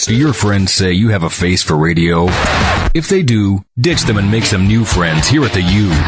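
Music sits in the background as a man speaks at a fairly low pitch and moderate pace. His intonation is lively and his loudness very even. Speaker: voice actor, radio imaging voice. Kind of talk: radio station imaging, rock and CHR promo read.

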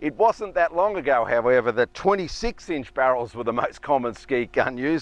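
At a moderate pace, a man talks with ordinary pitch variation in a dry sound with no echo. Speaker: shotgun coach. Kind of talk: tutorial. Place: open country. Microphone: lapel.

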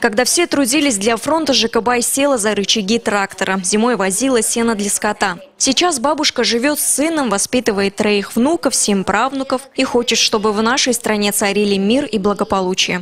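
Here is a woman with an ordinary speaking voice and a fairly high pitch, talking at a moderate pace with hardly any pauses. Her loudness stays very even, and her pitch variation is ordinary. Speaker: TV news reporter. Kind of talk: TV news report narration.

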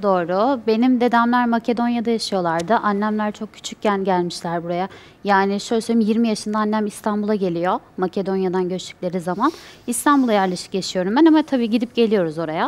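A woman speaks at a fairly quick pace in a fairly high voice, with ordinary pitch variation. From Turkey. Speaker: quiz contestant. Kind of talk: casual chat. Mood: calm, slightly shy. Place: studio. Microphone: headset.

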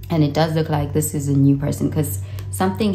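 The speech races along at a very fast pace. Faint music plays in the background. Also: woman. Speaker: tarot reader. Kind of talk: tarot reading commentary. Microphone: phone near.

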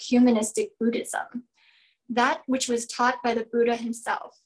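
Against a quiet background, a woman with a high pitch talks at a moderate pace. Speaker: event host. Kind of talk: formal welcome speech. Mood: warm, cheerful. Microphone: video call.

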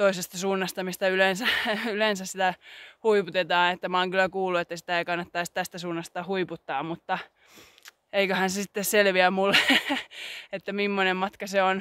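A woman at a moderate pace with monotone, flat intonation, in a dry sound with no echo against a quiet background. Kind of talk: casual vlog chat. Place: open country. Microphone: phone near.

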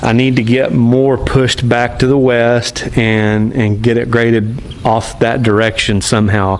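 The man's intonation is flat, staying monotone throughout. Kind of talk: casual vlog chat. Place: open country. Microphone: phone near.

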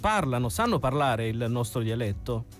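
Faint music plays in the background as a man speaks at a moderate pace, the sound dry with no echo. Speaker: radio host. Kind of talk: radio talk show hosting. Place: studio. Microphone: studio mic.

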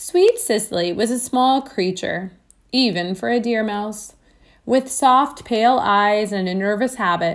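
The reading voice is unforced, with pitch varying in an ordinary way.

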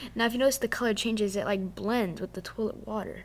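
The pace here is fairly quick. The speaker is a woman. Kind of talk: casual commentary. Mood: amused, playful. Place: bathroom. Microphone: phone near.

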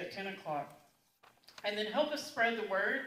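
Audible room echo surrounds a woman's voice. Light background noise is also present. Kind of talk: announcements. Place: church.

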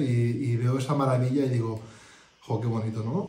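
Audible room echo around a man's voice. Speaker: group participant sharing experience. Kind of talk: interview answer. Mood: content, reflective. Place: home room. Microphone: phone near.

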